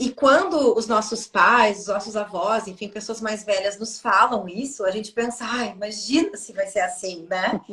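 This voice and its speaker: Against noticeable background noise, a woman speaks at a fairly high pitch with ordinary pitch variation. She has hardly any pauses and big swings in loudness. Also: moderate pace. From southern Brazil. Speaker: Akashic records therapist. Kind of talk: casual chat.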